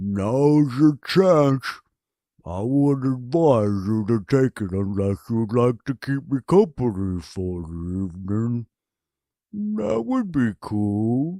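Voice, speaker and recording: Over a quiet background, a man uses a put-on character voice at medium pitch, going at a very slow pace. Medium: read story. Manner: languid, slow.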